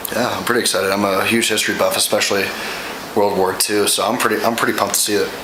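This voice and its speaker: A man speaks very fast with very even loudness. The recording has audible room echo and noticeable background noise. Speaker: college student, vlog guest. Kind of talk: casual movie review chat. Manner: halting, many repetitions; whispering.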